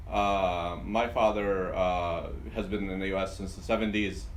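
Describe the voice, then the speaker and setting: A man with an Arabic accent is heard with audible room echo. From Yemen, then Dearborn, Michigan from age 14. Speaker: pharmacist and business owner. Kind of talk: interview. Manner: halting, many fillers and repetitions.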